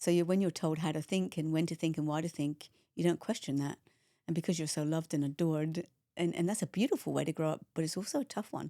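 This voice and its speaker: A woman speaks very fast with an English accent, a fairly low pitch and a dark, mellow tone, her intonation fairly even. The sound is dry and close with no echo, in a very clean recording with a silent background. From England. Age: 60s. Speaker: mindset coach. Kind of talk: interview conversation.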